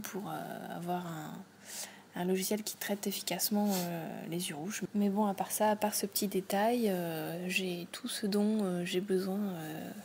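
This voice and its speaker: Somewhat breathy, a woman speaks with a medium pitch at a fairly slow pace. Her intonation stays fairly even. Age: 20s. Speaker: host's partner, non-tech user. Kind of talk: casual interview chat.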